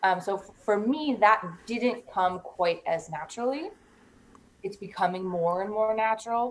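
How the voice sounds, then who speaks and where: With an American accent, a woman speaks fairly slowly in a plain, everyday voice, medium in pitch with ordinary pitch variation. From Iowa, US Midwest. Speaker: singer-songwriter. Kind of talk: casual interview. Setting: studio.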